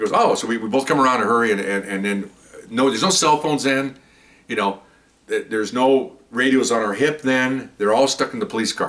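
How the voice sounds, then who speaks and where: With an American accent, a man talks at a fairly quick pace in an unremarkable speaking voice, medium in pitch with ordinary pitch variation. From East Los Angeles, California. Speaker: retired police officer. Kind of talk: storytelling. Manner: casual, repetitive.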